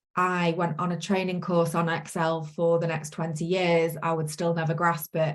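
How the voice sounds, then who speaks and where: A woman speaks in a Manchester accent. Her pace is fairly slow and her intonation monotone and flat. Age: 40s. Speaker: course participant, self-employed virtual assistant. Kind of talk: interview testimony. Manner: hesitant, many fillers.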